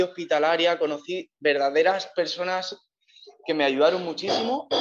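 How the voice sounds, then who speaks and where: Here a man speaks in a high pitch. His intonation stays fairly even. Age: 30s. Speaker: long-distance cycle tourer. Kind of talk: interview. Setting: remote call from Cape Town.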